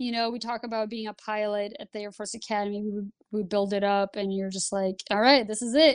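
A woman speaks with a Lithuanian accent at a fairly high pitch. The background is quiet. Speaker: Air Force pilot and flight instructor. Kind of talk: interview.

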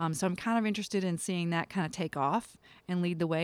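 Recorded very cleanly against a silent background, a woman speaks in an ordinary speaking voice with ordinary pitch variation. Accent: American. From US South, eastern North Carolina. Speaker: military commander. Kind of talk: interview.

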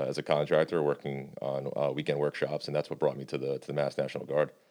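A man with a very deep, low pitch and vocal fry, in an American accent at a very fast pace. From New York State. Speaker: strength and conditioning specialist. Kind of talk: casual interview.

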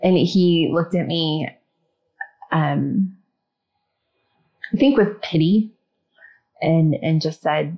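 A woman with an American accent speaks at a very slow pace with lively intonation and long, frequent pauses. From US Midwest, Ohio. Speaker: school teacher telling a kidnapping story. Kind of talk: testimony. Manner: hesitant, many fillers.

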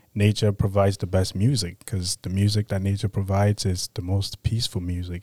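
In a very clean recording with a silent background, a man's fairly low voice comes across dark and mellow, the sound dry and close with no echo. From Cameroon. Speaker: military transition assistance staff. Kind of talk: casual interview.

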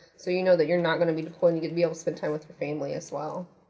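A woman speaks with a Midwestern American accent. Her voice is fairly low, with fairly even intonation. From US Midwest, Indiana. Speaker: military recruiter. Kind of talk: interview.

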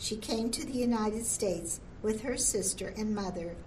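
At a fairly slow pace, a woman speaks in an unremarkable speaking voice with a fairly high pitch. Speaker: museum audio tour narrator. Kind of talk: scripted audio tour narration. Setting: museum audio guide. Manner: formal, measured, even-paced; calm, informative, solemn.

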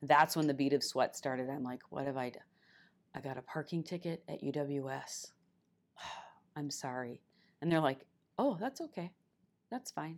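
In a very clean recording with a silent background, a woman with an Upper Midwest accent talks at a moderate pace in a very deep, low pitch, with ordinary pitch variation and long, frequent pauses. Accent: Upper Midwest (Minnesota). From northern Minnesota (Esko). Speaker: senior military enlisted leader. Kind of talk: casual interview.

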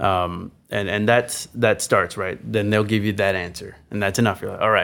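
A man with an American accent uses a plain, everyday voice at a moderate pace and fairly low pitch, with fairly even intonation, on a very clean recording with a silent background. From Texas, San Antonio. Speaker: military chapel staff sergeant. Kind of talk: casual interview chat.

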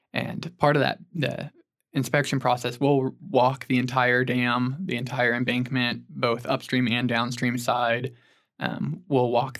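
A man speaks with an American accent in a normal speaking voice. His medium pitch holds fairly even intonation at a moderate pace. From Oklahoma (Stillwater). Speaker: structural engineer. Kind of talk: casual interview.

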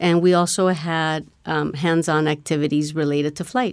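A plain, everyday voice with an American accent, moderate pace and fairly even intonation, on a very clean recording with a silent background. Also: woman. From Mexico, then US from age six. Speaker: STEM program coordinator. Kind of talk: interview.

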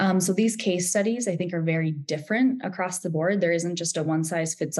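A woman speaks in an ordinary speaking voice, pitched fairly low. Her pace is moderate, with ordinary pitch variation. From US Midwest, Wisconsin. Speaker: intelligence analyst. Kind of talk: panel discussion.

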